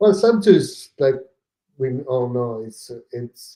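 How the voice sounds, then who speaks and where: In an Italian accent, a man speaks at a fairly slow pace with lively intonation. His voice is medium in pitch with a dark, mellow tone. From southern Italy (Naples), moved to northern Italy at ten. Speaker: real estate investor. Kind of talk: podcast interview. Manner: hesitant, many fillers.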